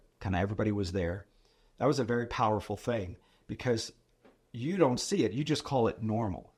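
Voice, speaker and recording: The recording is very clean, with a silent background. A man speaks at a fairly quick pace in a medium, somewhat breathy voice with ordinary pitch variation and long, frequent pauses. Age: 60s. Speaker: financial advisor and mentor. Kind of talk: casual chat.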